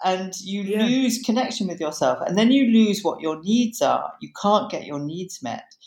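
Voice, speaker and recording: With lively intonation and big swings in loudness, a woman with a British accent speaks at a medium pitch and a moderate pace. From Britain. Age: 60s. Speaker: psychotherapist and author. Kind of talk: interview conversation.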